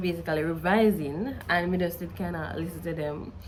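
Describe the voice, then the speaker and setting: A woman speaks in a Jamaican accent at a moderate pace. Room echo is audible. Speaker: study tutor and student youtuber. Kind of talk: casual vlog advice.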